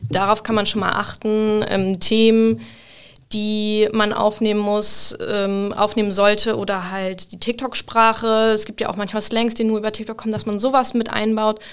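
Her intonation monotone and flat, a woman talks at a moderate pace in a fairly high voice. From northern Germany, Hamburg. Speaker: social media marketing lead. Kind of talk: casual interview. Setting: studio.

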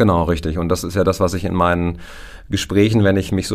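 Here a man talks at a very fast pace with monotone, flat intonation. His pitch is very deep and low. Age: 40s. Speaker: insurance advisor. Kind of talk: expert interview.

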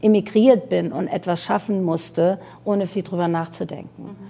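The speaker is a woman with a mid-range pitch. Her tone comes across as dark and mellow. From Iran, then Germany from age nine. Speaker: fashion designer and entrepreneur. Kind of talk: interview.

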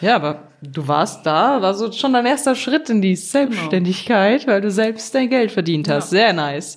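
A woman talks at a moderate pace in a medium pitch, with hardly any pauses. Her pitch swings very widely. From western Germany (North Rhine-Westphalia). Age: 20s. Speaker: podcast co-host. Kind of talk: casual chat.

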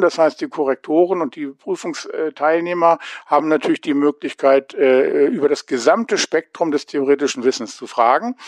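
In a dry, close sound with no echo, a man with a fairly high pitch speaks at a moderate pace with ordinary pitch variation in an unremarkable speaking voice. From Hanover, northern Germany. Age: 50s. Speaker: adult education lecturer. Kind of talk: interview.

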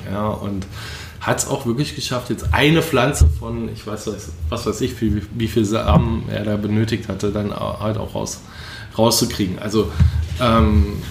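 With audible room echo and noticeable background noise, a man of fairly low pitch talks at a moderate pace. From Rhineland, Germany (Leverkusen). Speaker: spice trader. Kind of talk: casual chat.

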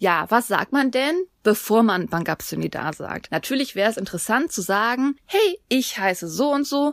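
Her pitch is fairly high and swings very widely as a woman speaks at a moderate pace. The recording is very clean with a silent background. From Germany. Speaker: podcast co-host, Korean language teacher. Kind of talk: language tutorial.

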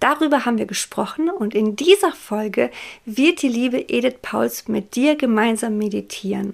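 At a fairly slow pace, a woman talks in a plain, everyday voice with a fairly high pitch. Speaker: podcast host. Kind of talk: podcast intro.

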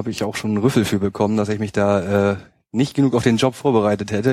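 A man with a slight Bremen accent at a very fast pace and fairly low pitch, with fairly even intonation, on a very clean recording with a silent background. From northern Germany, Hamburg outskirts. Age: 30s. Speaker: fan project social worker. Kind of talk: casual chat. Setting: studio.

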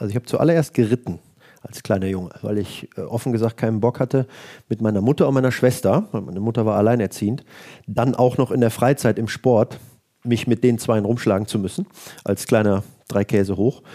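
A man at medium pitch with a dark, mellow tone, at a fairly quick pace with ordinary pitch variation, on a very clean recording with a silent background and a dry, close sound with no echo. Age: 40s. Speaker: equestrian vaulting coach and former champion. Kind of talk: interview. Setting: office.

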